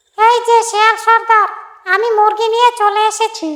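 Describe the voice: A squeaky, cartoonish character voice at an extremely high pitch, monotone and flat in intonation, at a moderate pace.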